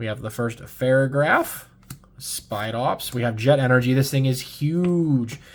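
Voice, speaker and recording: At a fairly slow pace, a man speaks with a medium pitch and fairly even intonation. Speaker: Pokemon card YouTuber. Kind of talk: pack opening commentary. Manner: casual, some hesitations; picking up the pace.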